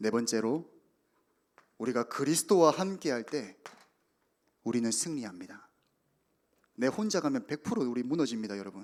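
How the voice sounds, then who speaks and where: An animated man at medium pitch swings very widely in pitch, keeping a moderate pace broken by long, frequent pauses. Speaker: youth pastor. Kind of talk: sermon.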